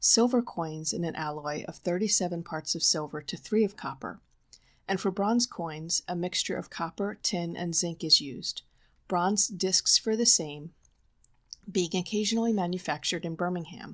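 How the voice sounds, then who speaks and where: A woman speaks softly at a fairly low pitch. The recording is very clean, with a silent background. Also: ordinary pitch variation, moderate pace. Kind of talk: nonfiction audiobook reading for sleep. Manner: soft-spoken.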